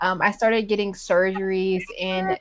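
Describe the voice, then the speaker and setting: A woman speaking at a fairly slow pace, a plain, everyday voice. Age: 20s. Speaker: IBD patient sharing her story. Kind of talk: patient interview.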